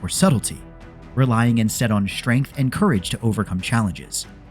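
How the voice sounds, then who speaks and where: A man is talking with music playing in the background. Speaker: lore video narrator. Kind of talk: educational lore commentary. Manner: soft-spoken, light-hearted.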